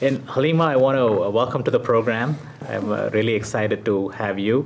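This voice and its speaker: Talking very fast with ordinary pitch variation, a man is heard over noticeable background noise. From South India. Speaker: TV talk show host. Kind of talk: interview.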